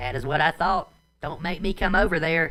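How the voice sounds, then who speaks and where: A man puts on a character voice in a Southern accent. His pitch is high. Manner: menacing, threatening.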